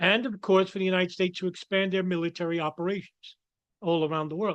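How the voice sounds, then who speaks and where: A very fast, high-pitched male voice in a New York accent, with fairly even intonation and a dry, close sound with no echo. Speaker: political commentator. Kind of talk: commentary monologue. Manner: halting.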